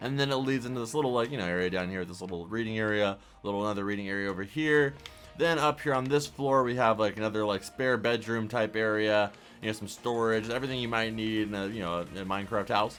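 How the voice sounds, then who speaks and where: Music plays behind a man speaking at a very fast pace. His pitch is fairly low, with ordinary pitch variation. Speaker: minecraft youtuber. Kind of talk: tutorial. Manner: animated.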